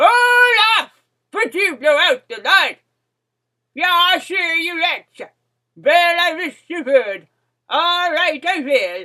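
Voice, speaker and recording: Speaking in a put-on character voice at an extremely high pitch, a woman talks at a very slow pace with long, frequent pauses. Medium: read story. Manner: folksy, singsong.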